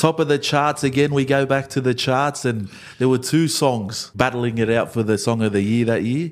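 Using a normal speaking voice, a man of medium pitch talks at a moderate pace with very even loudness, ordinary pitch variation and hardly any pauses. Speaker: podcast co-host. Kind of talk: casual chat, interviewing. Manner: upbeat, conversational.

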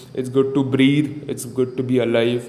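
There's noticeable background noise as a man talks at a moderate pace and medium pitch. His intonation is monotone and flat. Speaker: podcast host. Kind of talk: motivational solo monologue, pep talk. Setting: solo podcast recording. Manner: intense, hyped, urgent.

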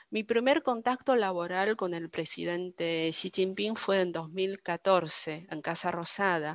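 A woman speaks at a very slow pace with hardly any pauses. The recording is very clean with a silent background and a dry, close sound with no echo. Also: medium pitch for a woman, ordinary pitch variation. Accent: Chinese. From northern China (Dalian). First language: Chinese (speaking Spanish). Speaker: interpreter. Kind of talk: interview.

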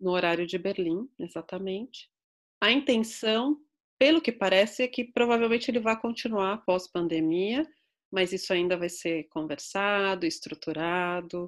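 Lively intonation runs through an unremarkable speaking voice at a fairly slow pace, on a very clean recording with a silent background. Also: woman, medium pitch for a woman. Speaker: psychologist. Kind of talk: interview.

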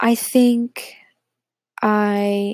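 The recording has a dry, close sound without echo. The voice is a woman's. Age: 20s. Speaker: solo podcaster. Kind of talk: casual personal monologue. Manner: halting, lots of fillers.

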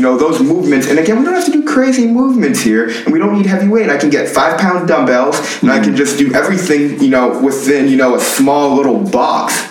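Audible room echo and noticeable background noise surround a man speaking at a fairly quick pace with lively intonation. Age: 20s. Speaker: strength and conditioning coach, former football player. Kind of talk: casual interview.

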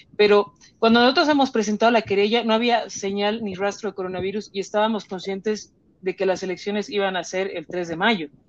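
At a fairly quick pace, a woman talks in an ordinary speaking voice with a medium pitch. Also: ordinary pitch variation. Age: 30s. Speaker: political candidate. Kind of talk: political debate.

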